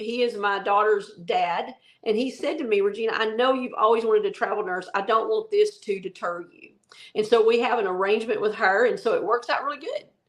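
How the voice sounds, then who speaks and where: At a fairly quick pace, a woman with a Southern accent talks in a fairly high pitch. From US South, rural Arkansas. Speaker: travel nurse, podcast co-host. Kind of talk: casual chat.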